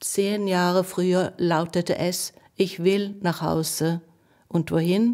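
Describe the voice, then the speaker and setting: A woman's very slow, monotone speech with a Norwegian accent, medium pitch and a dark, mellow tone, on a very clean recording with a silent background. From Norway. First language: Norwegian (speaking German). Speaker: poet and translator. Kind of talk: essayistic introduction and poetry reading.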